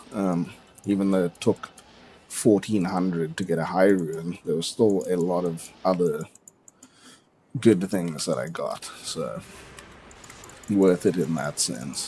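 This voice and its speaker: With a South African accent, the speaker talks at a very slow pace with long, frequent pauses, a dark, mellow tone and ordinary pitch variation. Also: man, very deep, low pitch for a man. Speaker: gaming streamer. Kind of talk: casual live stream commentary. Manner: casual, rambling with fillers.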